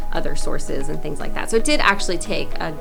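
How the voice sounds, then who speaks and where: A woman speaks with music in the background. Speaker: voice actor. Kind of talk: interview answer.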